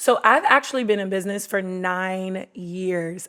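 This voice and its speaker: With noticeable background noise around her, a woman speaks at a medium pitch. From US Mid-Atlantic (DC, Maryland, Virginia area). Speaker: podcast host and entrepreneur. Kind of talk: casual interview testimony.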